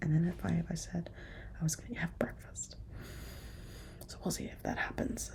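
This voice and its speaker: A woman is whispering. She keeps a moderate pace. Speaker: nurse vlogger. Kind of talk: vlog. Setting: at home at night. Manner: soft-spoken.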